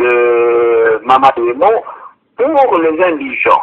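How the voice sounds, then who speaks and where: Bright and sharp in tone, a man's voice moves through very wide pitch swings. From DR Congo, Kinshasa. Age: 70s. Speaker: former city governor. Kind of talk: interview. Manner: halting.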